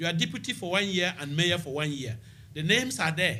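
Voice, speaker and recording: The voice carries a Ghanaian accent. Its tone is bright and sharp. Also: man. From Ghana, Upper East region. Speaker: local mayor, former nurse. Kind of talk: radio interview. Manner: halting.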